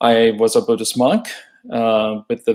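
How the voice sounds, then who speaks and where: This man speaks at medium pitch and a fairly slow pace, with fairly even intonation. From Texas, Houston. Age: 60s. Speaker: retired social worker and activist. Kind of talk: personal monologue. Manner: hesitant, many fillers.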